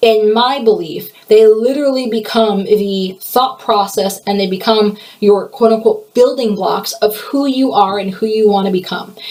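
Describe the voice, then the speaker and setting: A woman speaks with a fairly high pitch and fairly even intonation, with hardly any pauses. Noticeable background noise is present. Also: moderate pace. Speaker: podcast host. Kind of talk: solo podcast monologue. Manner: stutters at times; casual, conversational.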